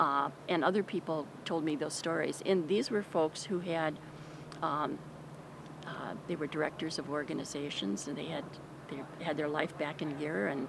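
Dry, with no echo but noticeable background noise, a woman's very deep, low voice moves at a fairly slow pace. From Wisconsin. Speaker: homeless shelter staff. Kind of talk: interview. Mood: calm, warm. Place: street.

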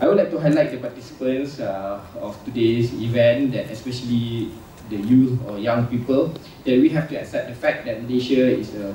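Amid light background noise and audible room echo, a man talks at a moderate pace with ordinary pitch variation and big swings in loudness. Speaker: event host giving opening remarks. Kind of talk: formal welcome speech. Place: hall.

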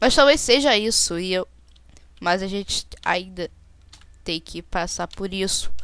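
The voice is a woman's. She speaks at a fairly slow pace. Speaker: gaming YouTuber. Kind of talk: gameplay commentary. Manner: animated.

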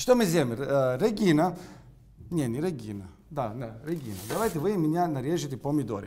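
A man with an Italian accent speaks at a fairly high pitch with very wide pitch swings, his tone dark and mellow and somewhat breathy. Long, frequent pauses break his speech, with light background noise behind him. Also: moderate pace. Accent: Italian-accented Russian. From Sicily, Italy. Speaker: chef. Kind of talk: cooking demonstration. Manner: animated. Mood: warm, friendly. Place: kitchen. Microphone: lapel.

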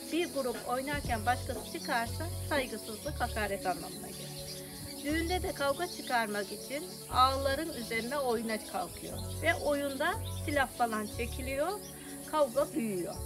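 A woman at a fairly slow pace, with clear music in the background. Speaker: local storyteller. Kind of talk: interview answer. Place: street.

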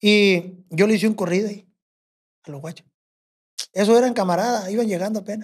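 Speaking at a fairly quick pace yet with long, frequent pauses, a man uses a high pitch and fairly even intonation. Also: quiet background. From Mexico, rural ranch. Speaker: bush pilot and corrido composer; podcast guest. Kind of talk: casual storytelling chat. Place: studio. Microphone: studio mic.

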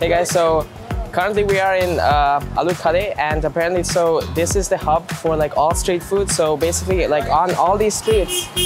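Music plays clearly behind the speech. A man talks at a moderate pace. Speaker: travel food host. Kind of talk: casual vlog chat. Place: street.

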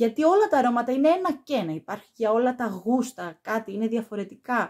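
Against a quiet background, a woman speaks with very wide pitch swings. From Greece. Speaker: perfume YouTuber; perfume reviewer. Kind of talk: product review vlog. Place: home room.

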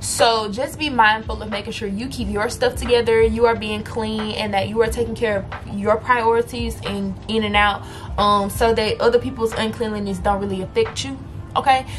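A woman talks at a moderate speed with light noise in the background. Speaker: college student vlogger. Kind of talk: casual vlog chat.

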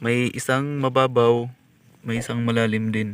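The voice moves at a fairly slow pace with monotone, flat intonation. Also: man. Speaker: treasure hunting vlogger. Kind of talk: casual on-site vlog narration.

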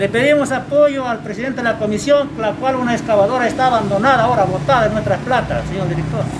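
A man with an extremely high voice races along at a very fast pace with hardly any pauses over noticeable background noise. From Peru, San Martín region. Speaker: rice farmers' leader. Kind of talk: public meeting speech. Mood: complaining, earnest. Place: street. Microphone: camera far.

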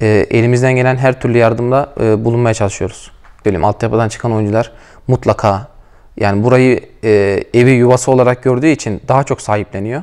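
A man at a fairly quick pace, with fairly even intonation and a quiet background. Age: 20s. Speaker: professional footballer, team captain. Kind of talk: interview. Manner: hesitant, many filler sounds. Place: hall. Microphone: lapel.

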